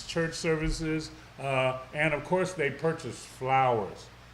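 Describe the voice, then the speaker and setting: Here a man speaks at a fairly slow pace in a fairly high pitch. Audible room echo and noticeable background noise surround his voice. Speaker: local TV morning show host. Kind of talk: live talk show interview. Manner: loud.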